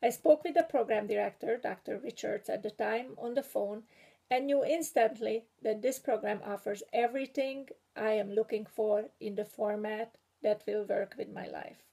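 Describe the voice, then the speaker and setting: The speaker has a strong Hungarian accent and a dark, mellow tone with vocal fry. The pace is moderate, with ordinary pitch variation and big swings in loudness. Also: woman. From Hungary. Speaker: graduating PhD student and writing instructor. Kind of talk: prepared graduation speech. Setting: video recording. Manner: formal.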